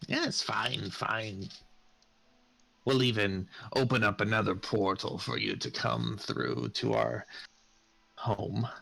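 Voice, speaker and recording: A raspy, put-on character voice from a man, fairly low in pitch, at a fairly slow pace with long, frequent pauses. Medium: actual play. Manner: scornful, blunt.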